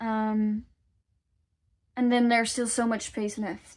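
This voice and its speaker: On a very clean recording with a silent background, a woman speaks at a fairly slow pace in a fairly high, somewhat breathy voice with monotone, flat intonation. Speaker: vlogger. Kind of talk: casual vlog. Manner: halting, many fillers.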